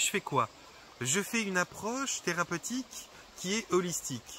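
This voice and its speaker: This is a man with a high-pitched voice. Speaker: holistic therapist. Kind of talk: vlog monologue. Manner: fast; hesitant, many fillers.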